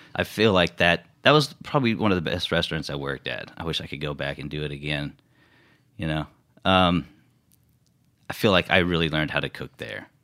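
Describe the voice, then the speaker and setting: On a very clean recording with a silent background, a man with a very deep, low pitch, vocal fry and a bright, sharp tone speaks at a fairly quick pace, with big swings in loudness and long, frequent pauses. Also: ordinary pitch variation. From Houston, Texas. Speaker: chef. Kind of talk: interview.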